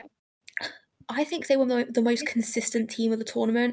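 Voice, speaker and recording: A woman's voice sits fairly high in pitch. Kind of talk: casual chat. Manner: fast talker; animated, energetic.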